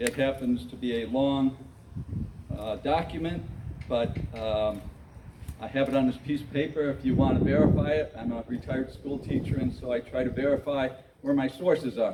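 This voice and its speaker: Over noticeable background noise, a man with an American accent talks at medium pitch and a moderate pace, his intonation fairly even. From Michigan. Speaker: retired school teacher. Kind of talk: public meeting speech. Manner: halting.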